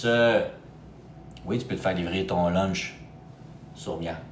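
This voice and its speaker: Ordinary pitch variation with audible room echo. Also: man. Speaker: real estate agent for expats. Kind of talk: live stream talk to viewers. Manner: animated, casual.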